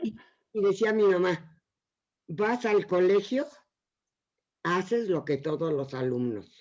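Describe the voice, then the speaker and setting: A woman's pitch swings very widely as she talks at a very slow pace. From Mexico City. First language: Yiddish (speaking Spanish). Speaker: Yiddish teacher. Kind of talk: interview.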